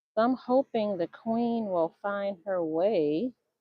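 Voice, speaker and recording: At a very slow pace, a woman talks at a medium pitch. Her pitch variation is ordinary. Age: 60s. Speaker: beekeeper. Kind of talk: live hive inspection stream. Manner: casual, thinking aloud.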